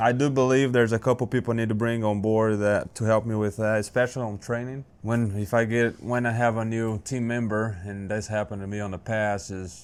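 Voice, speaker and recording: Speaking at a fairly quick pace with hardly any pauses, a man with a Brazilian Portuguese accent keeps his intonation fairly even. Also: medium pitch for a man. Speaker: small business owner. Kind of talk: interview.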